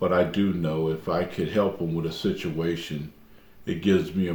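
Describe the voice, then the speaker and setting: A man talks at a moderate pace with fairly even intonation and a very deep, low pitch, while music plays in the background. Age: 70s. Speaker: community volunteer. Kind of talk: testimony. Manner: halting.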